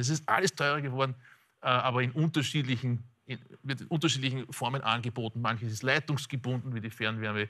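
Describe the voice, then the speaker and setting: A man with an Austrian accent at a very fast pace, bright and sharp in tone, with ordinary pitch variation and a quiet background. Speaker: economist. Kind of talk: expert interview. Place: studio. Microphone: lapel.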